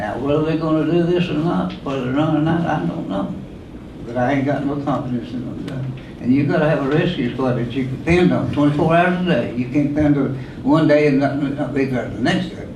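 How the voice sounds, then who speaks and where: With an Appalachian accent, a man talks at a fairly quick pace in a fairly high pitch with ordinary pitch variation, amid noticeable background noise and audible room echo. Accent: Appalachian Southern US. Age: 80s+. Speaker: rescue squad volunteer. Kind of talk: public comment at a meeting. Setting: county board meeting.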